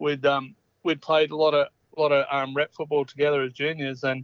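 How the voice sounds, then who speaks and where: Speaking with an Australian accent, a man talks fairly quickly at a fairly high pitch in a monotone, flat intonation. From Australia, Orange, country New South Wales. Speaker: former rugby league player. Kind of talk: interview. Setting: phone call. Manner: halting, many fillers and repeats.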